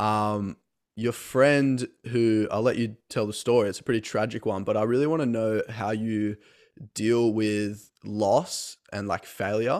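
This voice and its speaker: A man speaks fairly slowly in a fairly low voice with fairly even intonation. The recording is very clean, with a silent background. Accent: Australian. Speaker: podcast host. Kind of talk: interview conversation.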